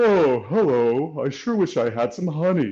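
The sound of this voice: A man speaks at a moderate pace in a put-on character voice with a fairly high pitch against a quiet background.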